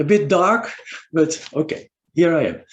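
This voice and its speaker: In a Dutch accent, a man speaks in a high pitch. His pitch varies in an ordinary way. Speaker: physician and university lecturer. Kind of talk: webinar presentation. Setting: video call. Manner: halting.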